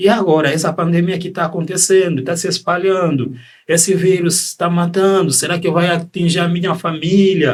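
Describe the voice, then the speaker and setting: This man's voice sits high in pitch, moving at a moderate pace with fairly even intonation. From Democratic Republic of the Congo. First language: French (speaking Portuguese). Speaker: psychiatrist. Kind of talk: podcast interview.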